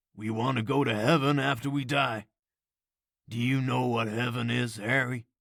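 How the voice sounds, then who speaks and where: A man puts on a raspy character voice at a medium pitch. He keeps a moderate pace. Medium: read story. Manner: warm, kindly.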